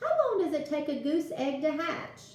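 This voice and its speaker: A woman's put-on character voice, high and squeaky, at a moderate pace, with slight echo and light background noise. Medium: read story. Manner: earnest, eager.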